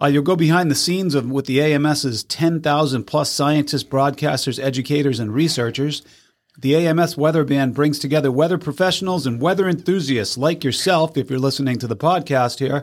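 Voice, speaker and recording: A man with an American accent uses a plain, everyday voice, fairly high in pitch with ordinary pitch variation, at a fairly quick pace on a very clean recording with a silent background. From Massachusetts, US. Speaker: weather podcast host. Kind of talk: weather report. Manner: brisk, clear, matter-of-fact forecast delivery; chatty, upbeat, quizzing co-host.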